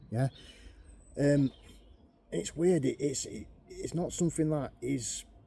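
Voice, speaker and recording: A fairly high-pitched man in a dark, mellow tone, somewhat breathy, at a fairly slow pace with long, frequent pauses. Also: ordinary pitch variation. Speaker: bushcraft youtuber. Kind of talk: tutorial.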